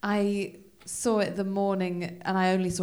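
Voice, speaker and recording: This is a woman's voice. She speaks with a Welsh accent. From Wales. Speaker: comedian. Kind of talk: casual chat.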